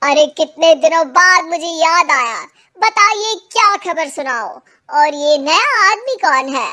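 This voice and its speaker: This cartoonish character voice sits at an extremely high pitch. It moves at a fairly slow pace. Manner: chatty, cheeky.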